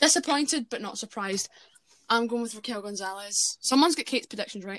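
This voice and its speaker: A very fast woman's voice, fairly high in pitch with ordinary variation, on a very clean recording with a silent background and a dry, close sound with no echo. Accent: Scottish. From Scotland. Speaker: wrestling podcast host. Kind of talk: casual chat. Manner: animated.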